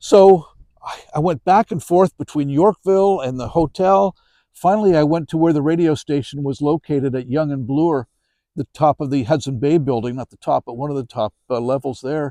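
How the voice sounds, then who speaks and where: Over a quiet background, a man with a fairly high pitch and a dark, mellow tone talks at a moderate pace with ordinary pitch variation, the sound dry and close with no echo. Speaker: author and storyteller. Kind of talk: interview answer. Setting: outdoors. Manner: conversational, anecdotal.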